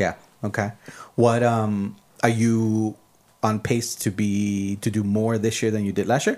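A man speaks at a fairly low pitch with monotone, flat intonation. His fairly slow pace holds long, frequent pauses on a very clean recording with a silent background. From El Paso, Texas. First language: Spanish. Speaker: podcast host. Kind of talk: casual interview chat. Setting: hotel in San Diego for intro, recorded conversation.

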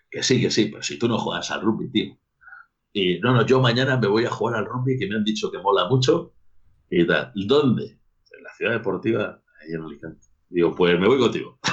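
An ordinary speaking voice from a man at medium pitch, moderate in pace, with lively intonation and big swings in loudness. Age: 40s. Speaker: rugby coach. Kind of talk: casual chat.

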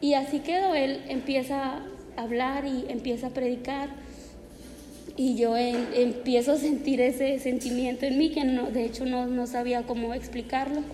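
Amid noticeable background noise and audible room echo, a woman speaks fairly slowly in a high, monotone, flat voice. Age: 20s. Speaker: church member. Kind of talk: testimony. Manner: halting.

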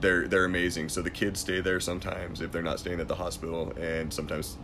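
Amid audible room echo, a man with a very deep, low pitch talks at a fairly quick pace in a monotone, flat intonation. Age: 30s. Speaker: MMA event commentator and war veteran. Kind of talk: casual chat.

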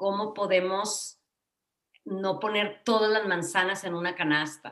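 A woman with an ordinary speaking voice talks at a fairly slow pace, her intonation fairly even. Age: 50s. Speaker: psychotherapist, podcast co-host. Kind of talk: casual chat.

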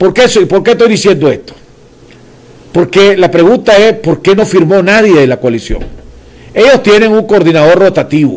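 With a Nicaraguan accent, a man speaks at a high pitch and a moderate pace, his intonation lively and his loudness very even, leaving long, frequent pauses. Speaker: political commentator and show host. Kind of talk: political interview show.

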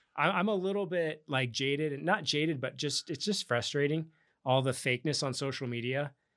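This man has an unremarkable speaking voice at a fairly high pitch. He talks at a moderate pace with ordinary pitch variation. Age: 40s. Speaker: real estate agent and crypto investor. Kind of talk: casual interview chat.

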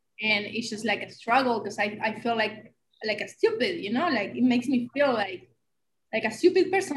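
With an Argentine accent, a woman talks in a fairly high pitch. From Argentina. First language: Spanish. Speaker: podcast co-host. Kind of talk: casual chat.

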